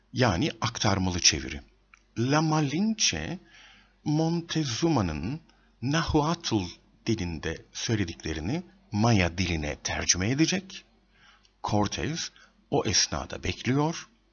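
A man's fairly low voice with a slightly husky edge, slow pace and big pitch swings

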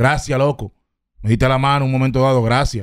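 In a Dominican accent, a man talks at a very fast pace with fairly even intonation, in a dry sound with no echo and a quiet background. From Dominican Republic, Herrera; Dominican Republic. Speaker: rapper; podcast guest. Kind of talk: casual interview; interview answer. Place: studio. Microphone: studio mic.

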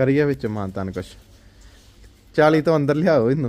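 A man's medium-pitched voice at a fairly quick pace, with lively intonation and a slightly mellow tone.

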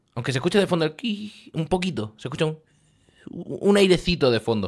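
A man talks at a moderate pace with very wide pitch swings. The background is quiet. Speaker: streamer. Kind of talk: casual stream chat. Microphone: studio mic.

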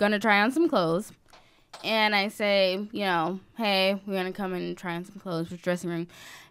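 A woman's ordinary speaking voice at a medium pitch, with ordinary pitch variation and big swings in loudness, on a very clean recording with a silent background. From US South, small-town Georgia. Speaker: podcast co-host. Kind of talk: casual chat.

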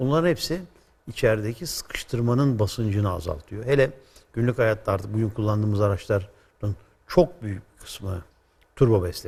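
A man talks in a somewhat breathy, fairly low voice at a moderate pace, with lively intonation. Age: 60s. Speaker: automotive expert; guest. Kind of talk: explanatory interview. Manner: hesitant with frequent fillers. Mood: calm, explanatory. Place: studio. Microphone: lapel.

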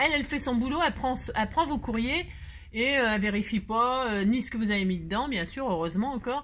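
A woman speaks with a fairly high pitch and lively intonation. Light background noise can be heard. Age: 50s. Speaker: crafting youtuber. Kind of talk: craft tutorial with casual chat. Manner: chatty, animated. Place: home room. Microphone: phone near.

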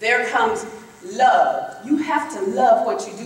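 Very wide pitch swings run through a woman's speech in a Southern US accent. Her pace is moderate, and there is audible room echo. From Florida, Tallahassee area; Florida. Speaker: political candidate; candidate. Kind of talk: campaign speech. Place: hall.

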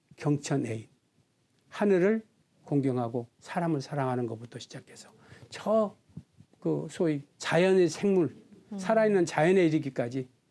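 Lively intonation and a dark, mellow tone mark this man's fairly high voice, broken by long, frequent pauses. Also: moderate pace. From South Korea, Chungcheongnam-do (Seocheon). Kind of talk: interview.

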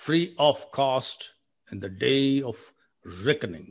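A man with a Telugu accent at a very slow pace, lively intonation against a quiet background. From South India. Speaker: poet. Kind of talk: poetry reading. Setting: video call. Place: home room. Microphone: video call.

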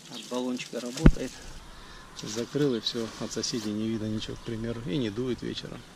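The intonation stays fairly even at a fairly quick pace. There is noticeable background noise. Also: man, medium pitch for a man, big swings in loudness. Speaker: travel vlogger. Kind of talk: vlog narration. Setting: outdoors. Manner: casual.

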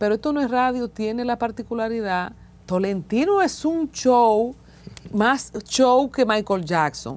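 Her pitch is fairly high, with lively intonation and a Dominican accent. The woman speaks at a fairly slow pace. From Dominican Republic. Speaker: interviewer. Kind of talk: interview. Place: studio. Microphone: lapel.

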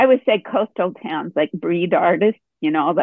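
Speaking at a moderate pace, a woman has a normal speaking voice with a fairly low pitch. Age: 60s. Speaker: artist. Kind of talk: casual chat. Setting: video call.

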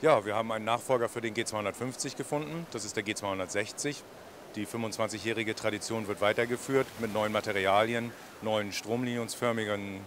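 A man speaks at a moderate pace with fairly even intonation. The sound is dry with no echo, over noticeable background noise. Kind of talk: interview answer. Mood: friendly, smiling. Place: hall. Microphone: handheld.

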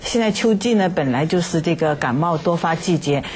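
There is light background noise as a woman talks at a moderate pace. Her pitch is fairly low. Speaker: medical expert. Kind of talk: interview. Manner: halting, many fillers. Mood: calm, explanatory. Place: studio.

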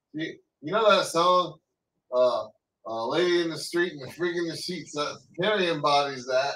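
Bright and sharp in tone, a high-pitched man speaks with ordinary pitch variation, big swings in loudness and long, frequent pauses, amid light background noise and audible room echo. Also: moderate pace. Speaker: podcast co-host. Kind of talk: casual chat. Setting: live stream. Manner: joking. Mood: amused, joking. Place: home room. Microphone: webcam.

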